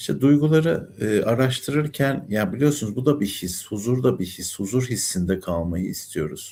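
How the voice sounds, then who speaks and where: In a very clean recording with a silent background, a man with a dark, mellow tone and medium pitch talks at a moderate pace with very wide pitch swings and hardly any pauses. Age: 60s. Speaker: numerologist and life coach. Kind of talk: spiritual talk monologue. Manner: calm, soothing tone; hesitant fillers.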